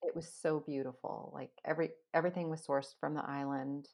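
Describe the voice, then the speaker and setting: A woman speaks with a very deep, low pitch. Her intonation is monotone and flat, in a very clean recording with a silent background. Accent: West Coast US. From US West Coast, Los Angeles. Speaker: food blogger and former chef. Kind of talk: interview. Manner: calm.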